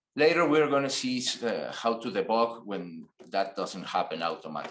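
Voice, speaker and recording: The speaker has a non-native accent and a moderate pace. Pitch swings very widely. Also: man, medium pitch for a man. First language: not English. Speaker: technical instructor. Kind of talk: tutorial. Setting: online webinar with screen share. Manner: halting, with fillers.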